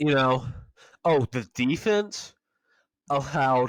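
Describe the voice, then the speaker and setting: A man speaks at a very slow pace with ordinary pitch variation, in a very clean, dry, close recording with no echo and a silent background. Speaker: sports podcast host. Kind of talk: casual monologue. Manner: halting, many fillers.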